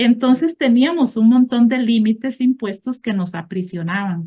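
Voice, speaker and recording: A woman speaks in an unremarkable speaking voice at a fairly high pitch. Her pace is fairly slow and her intonation lively. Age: 60s. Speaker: support group member. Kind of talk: testimony.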